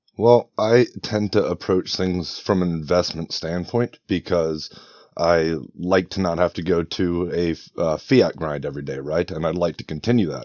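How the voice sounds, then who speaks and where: Delivered at a moderate pace in a Northeastern American accent, the speech carries ordinary pitch variation. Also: man, very deep, low pitch for a man. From Northeast Pennsylvania, US. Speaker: head of operations for NFT project. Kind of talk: interview.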